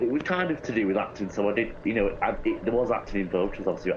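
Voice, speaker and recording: Very fast speech from a man, set against noticeable background noise. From Greater Manchester, England. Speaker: actor and singer-songwriter. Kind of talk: casual interview.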